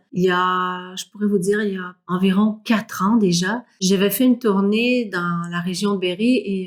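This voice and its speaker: Delivery is fairly slow with hardly any pauses. The intonation stays fairly even. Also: woman, medium pitch for a woman. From Quebec. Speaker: singer. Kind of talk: interview. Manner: halting, many fillers.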